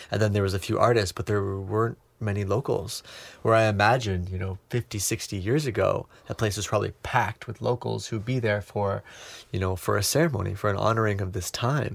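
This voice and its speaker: A man's fairly low, somewhat breathy voice at a fairly quick pace, with fairly even intonation, in a very clean recording with a silent background. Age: 20s. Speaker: cacao ceremony facilitator. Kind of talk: casual chat.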